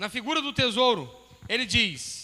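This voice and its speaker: At a fairly slow pace, a man with a high pitch speaks in a raised, projected voice. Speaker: pastor. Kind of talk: sermon.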